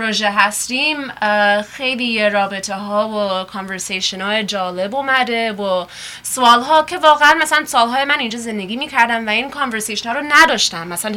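Over noticeable background noise, a woman with an American accent talks very fast in a fairly high voice with lively intonation. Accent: American-accented Persian. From US. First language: English (speaking Persian). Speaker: sound artist and photography lecturer. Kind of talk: radio interview. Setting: studio. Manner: halting, with many fillers.

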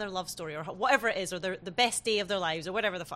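A woman's bright, sharp voice with a British accent and lively intonation, against a quiet background. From Britain. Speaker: podcast host. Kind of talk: casual chat.

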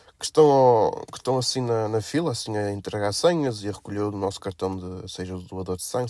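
In a very clean recording with a silent background, a man with a fairly low pitch and ordinary pitch variation talks at a very fast pace with hardly any pauses. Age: 20s. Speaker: podcast host. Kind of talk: casual monologue. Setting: at blood donation site. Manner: hesitant with fillers.

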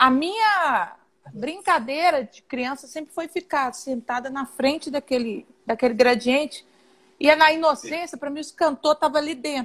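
A high-pitched woman at a moderate pace, with ordinary pitch variation and big swings in loudness. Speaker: singer. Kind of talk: casual chat.

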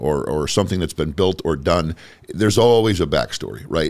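A man's very deep, low voice at a very fast pace, with lively intonation and vocal fry. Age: 30s. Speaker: podcast host. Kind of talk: casual chat. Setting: studio.

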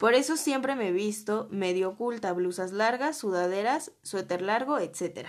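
Speaking in a Mexican accent, a woman talks at a fairly slow pace in a fairly high pitch with lively intonation. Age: 20s. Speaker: podcast host. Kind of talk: casual solo podcast monologue.

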